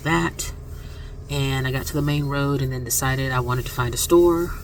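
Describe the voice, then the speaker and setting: Talking at a very fast pace in a soft-spoken way, a woman with a very deep, low pitch and an American accent comes through with audible room echo and noticeable background noise. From Florida. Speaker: vlogger. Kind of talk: casual vlog.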